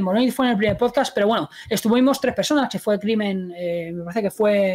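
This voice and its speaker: Fairly quick and medium in pitch, a woman's unremarkable speaking voice moves with ordinary pitch variation. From Spain, Madrid. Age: 30s. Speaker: gaming YouTuber and streamer. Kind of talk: casual interview.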